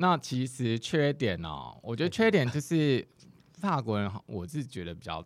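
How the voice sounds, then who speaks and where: A man speaks at a moderate pace with vocal fry, his medium pitch making very wide swings. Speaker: guest sharing life abroad experience. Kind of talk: casual chat.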